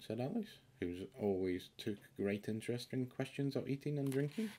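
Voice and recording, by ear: The voice has a dark, mellow tone and moves through big pitch swings. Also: man, medium pitch for a man, moderate pace.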